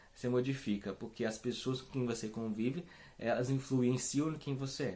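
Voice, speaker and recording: A man's medium-pitched voice with a dark, mellow tone, a moderate pace and fairly even intonation. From Brazil, Espírito Santo. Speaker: religious community founder. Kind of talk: spiritual talk. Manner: hesitant, many fillers.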